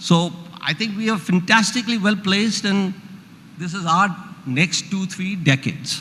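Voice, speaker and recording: Raised and projected, a man's high-pitched voice moves at a moderate pace with ordinary pitch variation. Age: 70s. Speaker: economist. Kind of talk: panel discussion.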